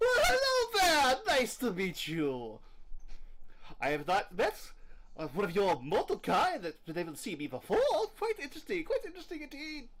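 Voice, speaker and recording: Over clear background noise, a put-on character voice moves at a moderate pace with long, frequent pauses. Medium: actual play. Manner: cheerful, playful.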